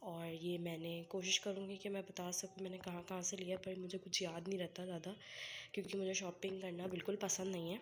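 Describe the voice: A woman speaks at a fairly quick pace. Her pitch is fairly low, with little pitch movement.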